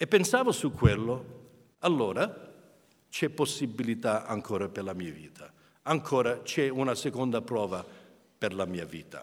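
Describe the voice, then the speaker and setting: A man with an English accent talks at a fairly slow pace, with very wide pitch swings and long, frequent pauses. The recording is very clean and the background silent. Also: medium pitch for a man. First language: English (speaking Italian). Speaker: preacher. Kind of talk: sermon. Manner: halting.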